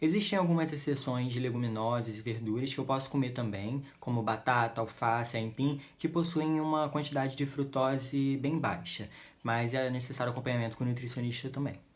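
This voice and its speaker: Delivered at a moderate speed, a normal speaking voice moves through ordinary pitch variation. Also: man. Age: 20s. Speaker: patient advocate for a rare genetic disease. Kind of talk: informational talk to camera.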